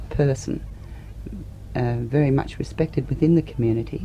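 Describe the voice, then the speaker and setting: Noticeable background noise accompanies a woman speaking in an Australian accent. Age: 40s. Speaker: political activist. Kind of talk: interview answer.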